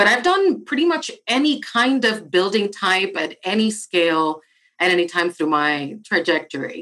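Her tone bright and sharp, a woman at medium pitch speaks at a moderate pace with very wide pitch swings. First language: Spanish. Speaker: architect and diversity director. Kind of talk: interview.

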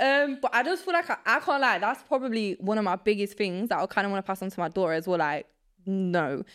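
Very fast and in a medium pitch, a woman talks with very wide pitch swings. The recording is very clean, with a silent background. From England, Nottingham (moved from Poland at five). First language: Polish. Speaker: law graduate. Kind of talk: casual chat.

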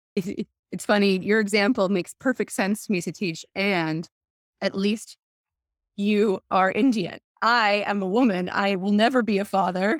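On a very clean recording with a silent background and a dry, close sound with no echo, a woman talks at a moderate pace and medium pitch with ordinary pitch variation. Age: 30s. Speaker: entrepreneur, former teacher. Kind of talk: interview. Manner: animated.

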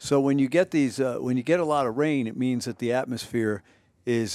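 A man talks at a medium pitch with ordinary pitch variation. The recording is very clean with a silent background, and the sound is dry and close with no echo. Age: 60s. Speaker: meteorologist and podcast host. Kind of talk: casual chat. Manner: animated.

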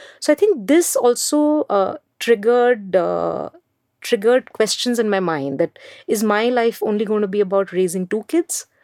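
A woman talks with an Indian accent at a moderate pace. The sound is dry and close, with no echo. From India, Mumbai. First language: Hindi. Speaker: education entrepreneur. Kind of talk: interview.

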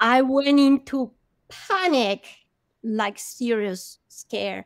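A woman speaks with a Spanish accent. The recording is very clean with a silent background, and the sound is dry and close with no echo. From Colombia (Bogota). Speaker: marine biologist and oceanographer. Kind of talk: interview testimony.

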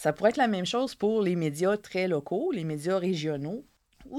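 The speaker talks at a fairly quick pace with a Quebec accent. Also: woman. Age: 30s. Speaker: journalist and author. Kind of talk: interview.

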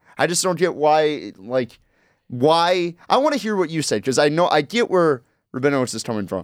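A man's fairly high voice at a moderate pace, lively in intonation, on a very clean recording with a silent background. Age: 20s. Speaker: college radio sports co-host. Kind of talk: casual sports talk. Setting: radio studio.

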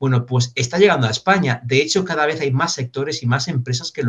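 Somewhat breathy, a man speaks very fast with ordinary pitch variation, the sound dry and close with no echo. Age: 40s. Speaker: business consultant and trainer. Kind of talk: interview.

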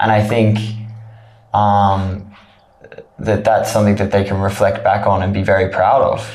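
A man speaks at a moderate pace in a fairly low pitch, with a monotone, flat delivery and very even loudness. Long, frequent pauses break up his speech over noticeable background noise. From Australia. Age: 20s. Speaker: trekker. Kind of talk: interview. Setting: studio.

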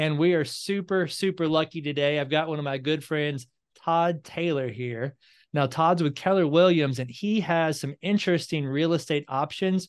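A man speaks at a moderate pace in an ordinary speaking voice, his pitch varying in an ordinary way. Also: fairly high pitch for a man, quiet background. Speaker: podcast host and mortgage professional. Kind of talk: casual interview intro and chat. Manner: friendly, conversational.

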